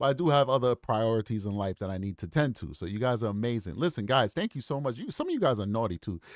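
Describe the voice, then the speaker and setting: Words come at a very fast pace with hardly any pauses, in an animated tone with lively intonation. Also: man, medium pitch for a man. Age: 40s. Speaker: true crime YouTube host. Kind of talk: livestream chat with viewers. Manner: casual, animated.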